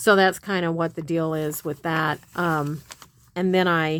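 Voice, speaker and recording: Her pitch fairly low, a woman speaks at a fairly slow pace in monotone, flat intonation. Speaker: craft video host. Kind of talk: casual crafting tutorial. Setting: home craft room. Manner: halting, stammering.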